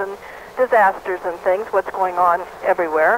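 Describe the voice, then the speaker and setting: A woman at a fairly slow pace, dry and close with no echo, over noticeable background noise. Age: 70s. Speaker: caller. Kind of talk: call-in comment.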